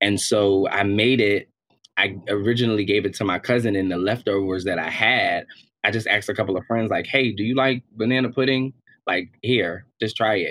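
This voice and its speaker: This man has a fairly low pitch and fairly even intonation. He talks at a moderate pace. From Harlem, New York. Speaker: entrepreneur and singer. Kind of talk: casual interview.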